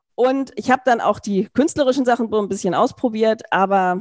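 Heard in a very clean recording with a silent background, a woman has an unremarkable speaking voice, a fairly high pitch with ordinary pitch variation, and a fairly quick pace. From Berlin, Germany. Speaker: law professor. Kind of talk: interview conversation.

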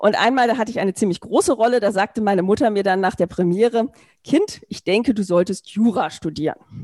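With an unremarkable speaking voice, a woman speaks at a fairly high pitch and a moderate pace, her intonation lively, in a dry, close sound with no echo. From Berlin, Germany. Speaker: law professor. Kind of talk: interview conversation.

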